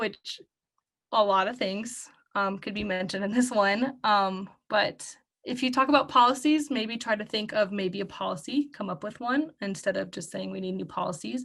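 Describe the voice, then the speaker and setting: A woman with vocal fry and a fairly high pitch speaks at a moderate pace, with ordinary pitch variation. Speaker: student discussion facilitator. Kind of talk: group discussion facilitation.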